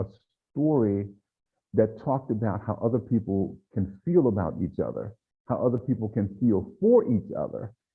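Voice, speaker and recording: Music runs underneath the speech. A man talks with lively intonation. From Louisiana. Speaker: pediatrician and novelist. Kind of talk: author talk.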